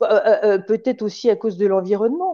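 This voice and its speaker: Woman's dark, mellow voice at medium pitch, very wide pitch swings and a fairly slow pace. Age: 60s. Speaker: retired dentist and amateur artist. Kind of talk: interview. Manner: halting.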